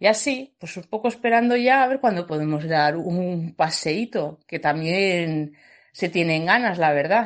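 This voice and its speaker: A woman with an unremarkable speaking voice, fairly low in pitch and fairly slow, her intonation lively and her loudness swinging widely, over a quiet background. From Logroño, La Rioja, Spain. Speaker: new mother. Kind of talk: testimony. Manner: casual.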